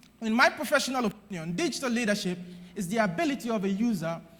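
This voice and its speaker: Energetic in tone, a man speaks at a high pitch and a fairly quick pace. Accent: Nigerian. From Nigeria. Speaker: conference speaker on digital strategy. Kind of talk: conference keynote speech. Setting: stage with audience. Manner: loud, energetic.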